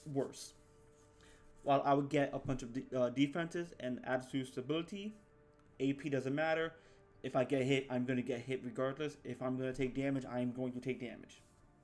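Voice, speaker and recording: Fairly quick speech from a man at medium pitch, fairly even in intonation, with music in the background. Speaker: gaming youtuber. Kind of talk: gameplay tutorial. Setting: at home, recording. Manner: quiet, held-back volume; halting, many repeats and fillers.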